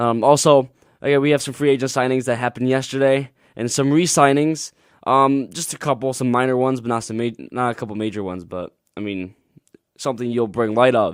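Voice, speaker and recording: A man talks at a fairly quick pace, mumbling. His pitch is medium with ordinary variation. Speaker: student radio DJ. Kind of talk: casual sports radio talk. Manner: halting, stumbling over words.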